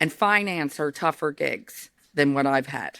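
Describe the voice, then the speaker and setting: Loud and bright with a sharp tone, a woman speaks in an American accent at a fairly slow pace with lively intonation, in a very clean, dry, close recording with no echo and a silent background. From New York, US. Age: 50s. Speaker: company founder and CEO. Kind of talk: interview conversation.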